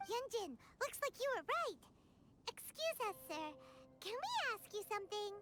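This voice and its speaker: A put-on character voice, squeaky and extremely high in pitch, with long, frequent pauses. Background noise is clearly audible. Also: moderate pace. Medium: video game. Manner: chatty, lively.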